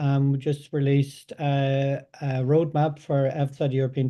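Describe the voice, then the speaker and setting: With a strong Irish accent, a man talks in a dark, mellow tone. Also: quiet background. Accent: thick Irish. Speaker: data science company representative. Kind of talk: webinar presentation. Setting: online webinar. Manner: halting, many fillers and repeats.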